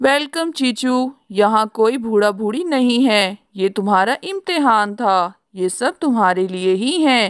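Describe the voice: A cartoonish character voice that sounds female rises to a fairly high pitch and moves at a fairly slow pace with hardly any pauses. The recording is very clean, with a silent background.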